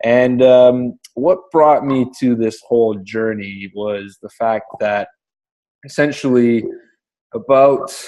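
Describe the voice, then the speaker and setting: In a French Canadian accent, a man speaks at a very slow pace with medium pitch. His tone is dark and mellow, with ordinary pitch variation. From French Canada. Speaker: digital entrepreneur. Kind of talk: interview. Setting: call.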